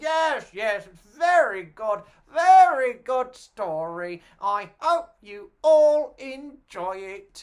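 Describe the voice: In a put-on character voice that sounds female, the speaker goes very slowly yet with hardly any pauses, her high pitch making very wide swings.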